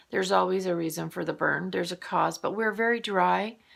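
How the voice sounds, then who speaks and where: Calm in tone, a soft-spoken woman talks at a moderate pace. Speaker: morning vlogger. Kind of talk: casual monologue.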